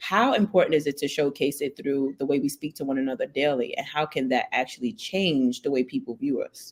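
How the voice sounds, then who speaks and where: Fairly quick, with hardly any pauses, from a woman with a Brooklyn accent, a very deep, low pitch and ordinary pitch variation. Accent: Brooklyn New York. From New York, Brooklyn. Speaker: podcast host. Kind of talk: interview conversation.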